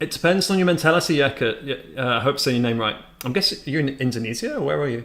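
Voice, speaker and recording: Lively intonation marks a man's fairly high voice with a British accent, vocal fry and a very fast pace. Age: 30s. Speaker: day trader streamer. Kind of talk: live-stream commentary with chat. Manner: casual, self-correcting.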